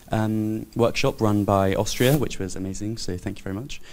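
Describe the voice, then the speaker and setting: A man speaks with a British accent. His pitch is fairly low. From United Kingdom. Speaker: public auditor, conference participant. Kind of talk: panel discussion. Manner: hesitant, many fillers.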